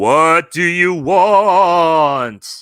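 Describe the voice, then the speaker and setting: In a put-on character voice, a man speaks at a high pitch on a very clean recording with a silent background. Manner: eerie, spooky.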